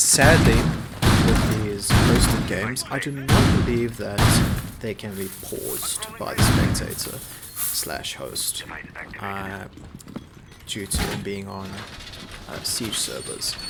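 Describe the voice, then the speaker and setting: Very slow speech with long, frequent pauses, big swings in loudness, noticeable background noise, and audible room echo. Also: man. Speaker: esports caster. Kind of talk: live commentary.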